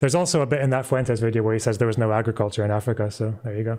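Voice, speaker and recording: A man with a slight Scottish accent, medium pitch and a dark, mellow tone, on a very clean recording with a silent background. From Scotland. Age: 20s. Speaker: YouTuber, history commentator. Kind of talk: live stream Q&A. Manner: halting, many fillers.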